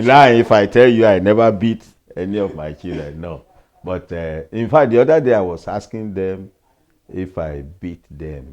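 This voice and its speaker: Over a quiet background, a man with a Nigerian accent talks at a moderate pace and fairly low pitch, with lively intonation and big swings in loudness. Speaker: pastor and retired professor. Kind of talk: interview answer.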